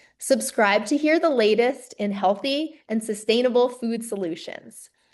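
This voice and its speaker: Fairly high in pitch, a woman speaks with a normal speaking voice. Her pace is fairly slow and her pitch variation ordinary. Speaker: podcast host. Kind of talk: podcast intro and interview questions.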